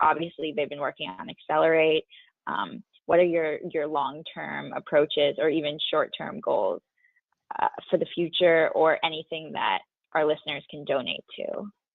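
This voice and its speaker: A woman in a Californian accent talks at a fairly slow pace. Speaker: podcast co-host. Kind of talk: podcast interview. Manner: halting, stumbles on words.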